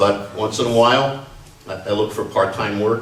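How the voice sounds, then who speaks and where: A man's medium-pitched voice with fairly even intonation, noticeable background noise and audible room echo. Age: 60s. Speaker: retiree, memorial speaker. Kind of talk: reading aloud a comic piece.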